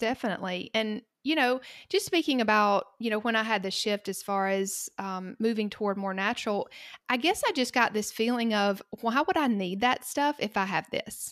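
In a very clean recording with a silent background, a woman talks at a moderate pace and fairly high pitch, with ordinary pitch variation. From US South, Georgia. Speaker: pharmacist. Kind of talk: casual interview chat.

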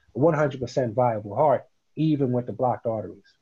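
Somewhat breathy, a man with a New York accent speaks at a medium pitch in a dark, mellow tone. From New York, Queens. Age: 50s. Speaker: CBD business founder and dividend investor. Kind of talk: casual interview.

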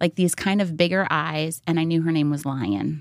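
In a very clean recording with a silent background, a woman with fairly low pitch and ordinary pitch variation talks in a plain, everyday voice. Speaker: mother and wife of a country musician. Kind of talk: casual chat.

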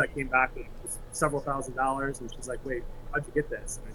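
A man with an American accent speaks at a moderate pace with fairly even intonation. Noticeable background noise runs under his voice. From East Lansing, Michigan. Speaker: college soccer coach. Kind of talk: interview.

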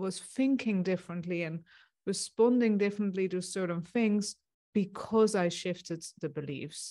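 A woman's voice has a dark, mellow tone. Her pitch variation is ordinary. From Netherlands. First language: Dutch. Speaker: success coach. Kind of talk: interview.

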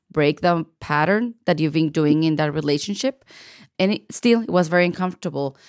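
A woman with a non-native accent speaks at a fairly low pitch. The recording is very clean, with a silent background and a dry, close sound with no echo. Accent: noticeable foreign. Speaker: podcast host, artist. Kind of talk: interview podcast. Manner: animated.

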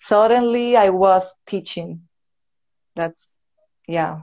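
A woman with a Venezuelan accent and ordinary pitch variation. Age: 30s. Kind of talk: casual interview. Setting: live video call. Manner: nervous, halting.

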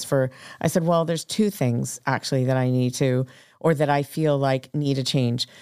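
Speaking in an American accent, the voice keeps a moderate pace and fairly even intonation. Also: woman. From Texas. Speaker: restaurant owner and baker. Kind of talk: casual interview chat. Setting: studio.

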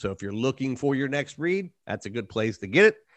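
Over a quiet background, a man talks very fast at a medium pitch with lively intonation. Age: 40s. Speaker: podcast host interviewing authors. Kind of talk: casual interview chat. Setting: home studio with dog.

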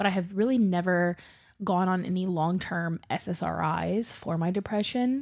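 In an American accent, a woman with a plain, everyday voice speaks fairly slowly at a medium pitch with ordinary pitch variation, on a very clean recording with a silent background. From US South. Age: 30s. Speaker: podcast co-host. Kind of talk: casual chat.

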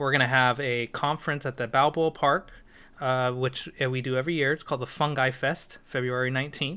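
A man with an American accent talks at a fairly quick pace. His medium-pitched voice has monotone, flat intonation. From US West Coast, San Diego. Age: 30s. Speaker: mycologist and bitcoin developer. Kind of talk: casual interview chat.

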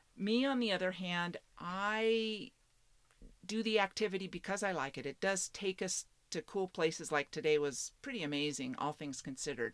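Lively in intonation, a woman with an American accent talks at a moderate pace in a normal speaking voice. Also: medium pitch for a woman. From Washington State, US Pacific Northwest. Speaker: geocaching hobbyist and solo RVer. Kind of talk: casual interview. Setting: outdoors at a state park campground.

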